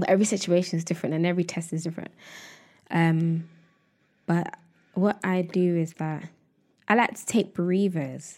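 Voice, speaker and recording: A woman speaks at a fairly low pitch. Her loudness swings widely, and she leaves long, frequent pauses. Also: fairly even intonation, fairly quick pace. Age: 20s. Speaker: content creator. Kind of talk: casual chat.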